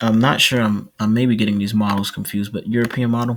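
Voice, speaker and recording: A soft-spoken man's medium-pitched, monotone, flat delivery at a fairly quick pace. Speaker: weather video creator. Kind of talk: casual weather update. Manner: halting.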